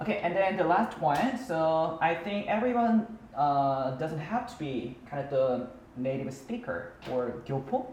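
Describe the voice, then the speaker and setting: Speaking at a fairly slow pace with a Korean accent, this voice swings very widely in pitch and hardly pauses, over noticeable background noise and audible room echo. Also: man, fairly high pitch for a man. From South Korea. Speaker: English teacher. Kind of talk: casual chat. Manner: halting.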